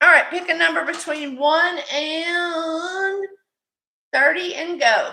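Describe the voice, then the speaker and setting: A woman projects her raised voice at an extremely high pitch with a bright, sharp tone, speaking at a very slow pace with fairly even intonation amid audible room echo. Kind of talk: live-stream sales chat. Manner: loud; mumbling.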